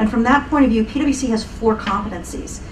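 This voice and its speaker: A woman talks at a very fast pace in a fairly high pitch. Noticeable background noise and audible room echo fill the recording. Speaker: panelist, knowledge management practitioner. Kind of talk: panel discussion.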